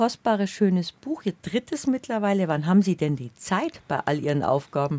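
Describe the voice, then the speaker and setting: A woman with a medium pitch speaks at a moderate pace, her pitch swinging very widely, in a dry, close sound with no echo. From Bavarian Swabia. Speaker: radio host. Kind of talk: radio conversation.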